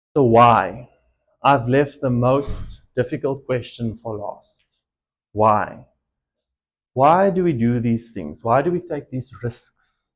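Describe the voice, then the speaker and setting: Against a quiet background, a man with an Afrikaans accent talks very slowly at a medium pitch, with lively intonation and long, frequent pauses. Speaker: entrepreneur. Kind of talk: motivational talk. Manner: hesitant, with filler ums.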